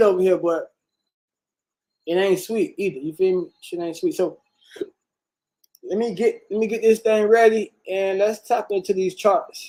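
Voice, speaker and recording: A man with a high voice and a dark, mellow tone speaks with ordinary pitch variation and long, frequent pauses. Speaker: livestream host, investing channel. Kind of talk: casual livestream commentary. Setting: livestream. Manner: fast; animated.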